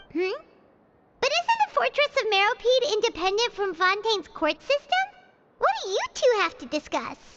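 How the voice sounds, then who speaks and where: A squeaky, put-on character voice speaks at an extremely high pitch. The pace is moderate. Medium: video game. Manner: soft, earnest, caring.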